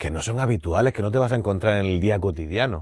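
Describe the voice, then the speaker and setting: The speaker has a Murcian accent and a moderate pace. The recording is very clean, with a silent background. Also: man. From Spain, Murcia. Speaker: blind actor and drama teacher. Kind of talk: podcast interview.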